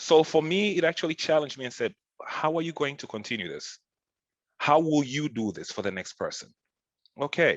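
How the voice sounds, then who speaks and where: A man with a fairly high voice and vocal fry talks at a fairly quick pace with lively intonation, big swings in loudness and long, frequent pauses, his sound dry and close with no echo over a quiet background. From Tanzania, East Africa. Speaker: sales team lead. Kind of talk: podcast discussion. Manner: animated.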